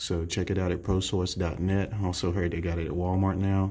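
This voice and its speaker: A man with a fairly low pitch talks at a moderate pace in a somewhat breathy voice. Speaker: fitness vlogger. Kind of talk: casual vlog chat. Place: bathroom. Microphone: phone near.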